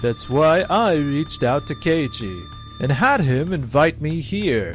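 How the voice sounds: A cartoonish character voice at a slow pace, pitch swinging very widely, with faint music in the background. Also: man, fairly high pitch for a man.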